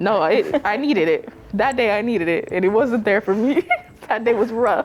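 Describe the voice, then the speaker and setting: Through noticeable background noise, a woman speaks at a moderate pace in a fairly high pitch, with lively intonation and very even loudness. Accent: American. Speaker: college student. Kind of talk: casual chat. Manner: soft-spoken.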